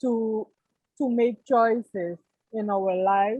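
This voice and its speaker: Fairly high in pitch, a woman speaks at a very slow pace. Her intonation stays fairly even. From Suriname. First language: Dutch. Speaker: course participant. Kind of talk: testimony. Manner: halting.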